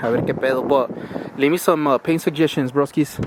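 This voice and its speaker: A man talks with a fairly high pitch. Noticeable background noise runs behind him. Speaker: car enthusiast vlogger. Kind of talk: casual garage vlog. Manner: fast.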